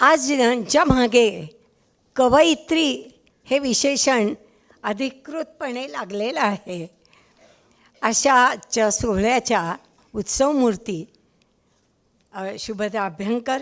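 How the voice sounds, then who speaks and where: A loud, high-pitched woman's voice with lively intonation. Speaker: writer and teacher, chief guest presiding at a book launch. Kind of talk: formal speech. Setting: stage with audience. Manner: speaking loudly to be heard.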